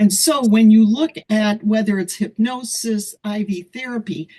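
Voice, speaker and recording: At a fairly slow pace, a woman speaks in a somewhat breathy voice with a fairly high pitch and ordinary pitch variation. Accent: American. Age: 70s. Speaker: holistic weight loss practitioner. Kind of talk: panel discussion on video call.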